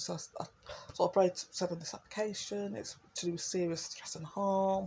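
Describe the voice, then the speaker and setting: A woman speaks in an East Midlands accent at a medium pitch. Her voice is somewhat breathy, with fairly even intonation. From East Midlands, England (Derby). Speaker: video blogger. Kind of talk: personal monologue. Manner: rambling, hesitant with fillers.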